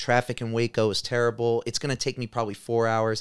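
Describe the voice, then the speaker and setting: In a normal speaking voice, a man with an American accent talks at a fairly quick pace and medium pitch on a very clean recording with a silent background. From New York. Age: 20s. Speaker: podcast guest. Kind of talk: casual chat. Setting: home studio, in person.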